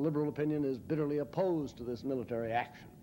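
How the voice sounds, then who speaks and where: The voice moves at a very fast pace with ordinary pitch variation over light background noise. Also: man. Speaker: lecturer or public speaker. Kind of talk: lecture. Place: hall. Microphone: podium.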